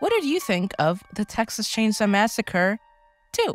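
Fairly slow, lively-intoned speech from a woman with a fairly high pitch, music in the background. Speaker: horror show co-host. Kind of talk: casual comedic horror movie discussion.

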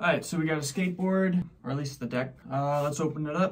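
A man's fairly high voice at a moderate pace. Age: 30s. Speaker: skateboard unboxing vlogger. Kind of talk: casual unboxing video. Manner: casual, joking. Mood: relaxed, self-deprecating. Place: home room. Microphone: phone near.

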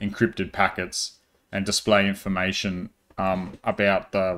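A man speaks in a flat monotone at a fairly low pitch and a fairly slow pace. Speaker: tech tutorial maker. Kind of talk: tutorial. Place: home room.

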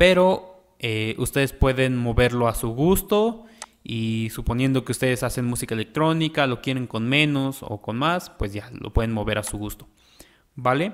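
A man with a normal speaking voice, medium pitch, lively intonation and a fairly slow pace. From Mexico. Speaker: music producer. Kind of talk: tutorial. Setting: home studio. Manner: casual.

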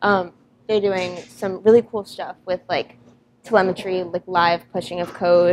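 A moderately paced female voice over light background noise. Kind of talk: interview answer. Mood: proud, enthusiastic. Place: workshop.

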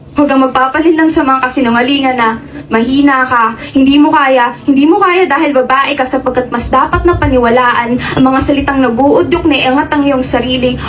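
A woman's high voice at a fairly quick pace, fairly even intonation and very even loudness, with noticeable background noise. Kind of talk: reverse spoken word poetry. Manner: defiant, rising emotion that turns hopeful in the reversed lines.

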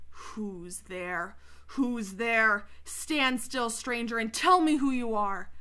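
A woman growls in a put-on character voice with fairly high pitch. She speaks at a very slow pace. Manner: menacing, demanding.

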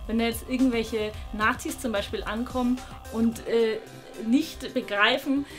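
A woman at a fairly slow pace, fairly even in intonation, with faint music in the background. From Bavarian Swabia, Germany. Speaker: traditional costume designer. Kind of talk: interview answer. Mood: opinionated, lively, some hesitations. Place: workshop.

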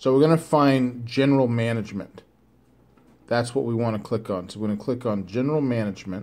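Fairly quick speech from a man. His tone is dark and mellow. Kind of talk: tutorial. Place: home room. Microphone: phone near.

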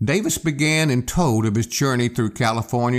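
Ordinary pitch variation colors a natural reading voice.

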